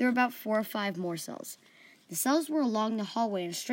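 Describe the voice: The clip consists of plain reading aloud.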